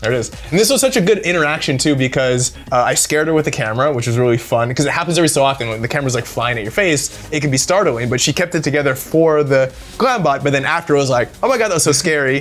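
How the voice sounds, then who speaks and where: A man talks at a very fast pace with hardly any pauses. His fairly high pitch shows ordinary variation, with noticeable background noise behind him. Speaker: celebrity red-carpet camera operator. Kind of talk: casual interview chat. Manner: casual, filler-heavy; fast when nervous.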